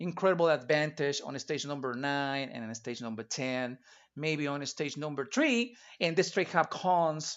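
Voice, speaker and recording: In a Spanish accent, a man speaks at a moderate pace with a fairly high pitch and ordinary pitch variation. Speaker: retro gaming streamer. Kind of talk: live gameplay stream commentary. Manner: halting, with repetitions.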